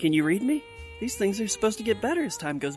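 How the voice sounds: Over clear music in the background, a raspy, fairly high-pitched put-on character voice rattles along at a very fast pace.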